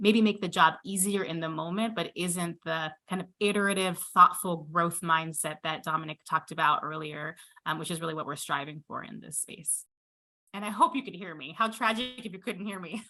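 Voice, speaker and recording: With an American accent, a woman talks at a fairly quick pace in a bright, sharp tone, showing ordinary pitch variation and big swings in loudness. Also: fairly low pitch for a woman. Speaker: physician and health care leader. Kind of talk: panel discussion.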